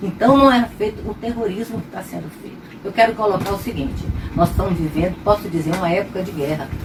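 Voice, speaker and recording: A woman's medium-pitched voice at a very fast pace, with big swings in loudness, ordinary pitch variation and noticeable background noise. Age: 70s. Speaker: retired pediatrician. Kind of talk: testimony.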